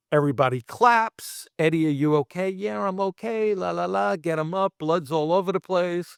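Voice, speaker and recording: Speaking in a Brooklyn accent, a man talks at a moderate pace with lively intonation. The recording is very clean, with a silent background and a dry, close sound with no echo. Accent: New York (Brooklyn). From Brooklyn, New York. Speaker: special effects artist. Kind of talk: casual interview storytelling. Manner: animated.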